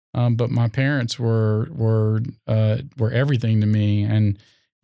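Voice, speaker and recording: In a very clean recording with a silent background, a man with an American accent speaks in a dark, mellow tone. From North Carolina, Raleigh area. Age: 40s. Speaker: mayoral candidate. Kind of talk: interview. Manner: hesitant, many fillers.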